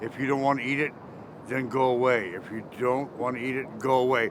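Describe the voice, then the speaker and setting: Noticeable background noise runs under the recording. A man talks over it at a moderate pace. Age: 50s. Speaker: former special ed teacher and musician. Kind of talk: street interview, casual chat.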